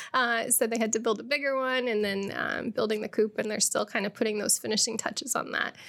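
A woman with a Midwestern American accent speaks very fast, with hardly any pauses. Her pitch is fairly high and her intonation fairly even. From central Illinois (near Springfield). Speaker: education technology consultant. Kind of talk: podcast interview. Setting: studio.

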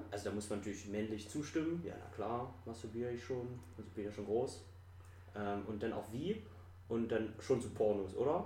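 Audible room echo surrounds a voice with ordinary pitch variation at a moderate pace. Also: man, fairly low pitch for a man. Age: 20s. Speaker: podcast guest. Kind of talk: casual chat. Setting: apartment recording.

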